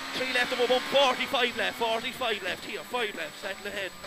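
Over loud background noise, a man with an Irish accent speaks in a raised, projected voice at an extremely high pitch, the sound dry with no echo. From Ireland. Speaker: rally co-driver. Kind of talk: rapid-fire rally pacenotes read aloud over engine noise. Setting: inside a rally car during a stage. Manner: clipped, urgent, relentless stream of numbers and calls; repeats warnings insistently, exhorting driver. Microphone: headset.

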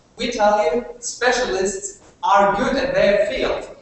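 Very slow speech from a man with ordinary pitch variation, strong room echo, and light background noise. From Germany. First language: German. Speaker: university debater. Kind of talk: competitive debate speech. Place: classroom. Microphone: camera far.

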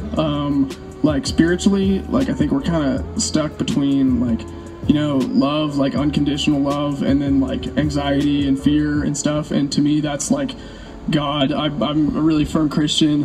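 The talking proceeds at a moderate speed. Music sounds clearly behind it. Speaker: interviewee. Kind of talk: interview answer. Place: street.

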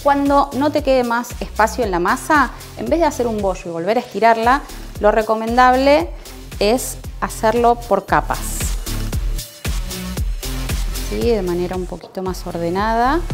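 Faint music plays in the background as the speech moves at a moderate pace. Long pauses come often. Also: woman. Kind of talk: tutorial. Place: kitchen. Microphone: lapel.

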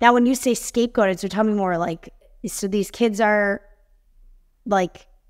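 A woman speaks at a fairly quick pace with an American accent. Her intonation is fairly even against a quiet background. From Chicago suburbs. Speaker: podcast host. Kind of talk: interview. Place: home room. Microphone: webcam.

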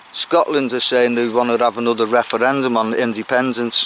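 A man at a fairly quick pace, dry sound with no echo, light background noise underneath. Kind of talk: casual vlog chat. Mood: jokey, laughing. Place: open country. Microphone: phone near.

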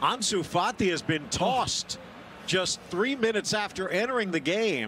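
A man's raised, projected voice, high in pitch, with lively intonation and a fairly slow pace. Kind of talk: sports commentary. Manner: fluent, brisk play-by-play, matter-of-fact.

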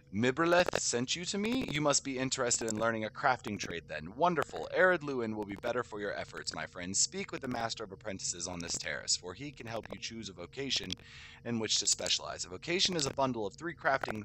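A man at a very fast pace, hardly pausing, with very wide pitch swings over noticeable background noise. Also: dry sound with no echo. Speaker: gamer streamer. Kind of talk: reading game quest text aloud. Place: home room.

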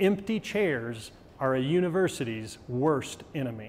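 The voice belongs to a man. Very wide swings run through his pitch. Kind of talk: lecture. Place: studio. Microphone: lapel.

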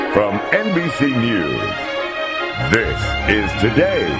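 A man speaks over loud music in the background. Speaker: voice announcer. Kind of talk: TV show intro announcement. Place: booth. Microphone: studio mic.

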